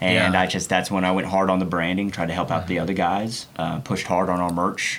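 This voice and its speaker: Over noticeable background noise, a man with a very deep, low voice talks at a fairly quick pace, flat and monotone, with very even loudness. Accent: American. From Oklahoma, Oklahoma City area. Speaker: car builder and TV personality. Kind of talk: casual interview chat.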